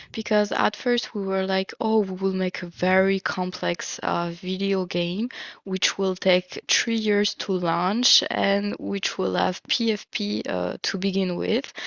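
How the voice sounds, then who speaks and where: A woman's medium-pitched voice with a strong French accent, very slow pace, monotone, flat intonation, and hardly any pauses. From France. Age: 30s. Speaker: project manager and NFT co-founder. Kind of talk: interview.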